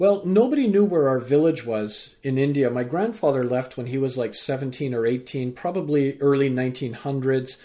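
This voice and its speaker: Speaking with a Canadian accent, a man uses a dark, mellow tone at medium pitch, with ordinary pitch variation, a moderate pace and hardly any pauses. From Vancouver, Canada. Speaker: business lecturer and life coach. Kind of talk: interview.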